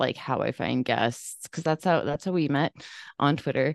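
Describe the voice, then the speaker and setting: Against a quiet background, a woman with a very deep, low pitch and ordinary pitch variation is recorded with a dry, close sound and no echo. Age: 30s. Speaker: podcaster and mental health storyteller. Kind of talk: casual interview chat.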